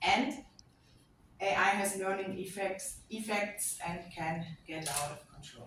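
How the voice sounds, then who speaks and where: Speaking very slowly with a German accent, a woman at medium pitch shows ordinary pitch variation and big swings in loudness, with audible room echo. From Germany. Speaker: lecturer and AI auditor. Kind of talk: conference talk.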